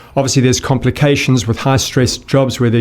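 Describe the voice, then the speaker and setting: The speaker has a South African accent and fairly even intonation. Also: man. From South Africa, Johannesburg. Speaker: gut health expert. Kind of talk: interview conversation.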